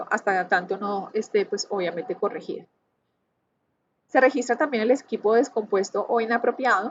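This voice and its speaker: Ordinary pitch variation and a moderate pace in a woman's normal speaking voice. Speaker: university lecturer in construction. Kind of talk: lecture.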